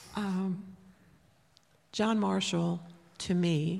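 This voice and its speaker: With an American accent, a woman speaks at a very slow pace. Her voice is somewhat breathy, and her pitch is fairly low. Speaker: pastor's wife. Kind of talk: testimony and scripture reading. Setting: church.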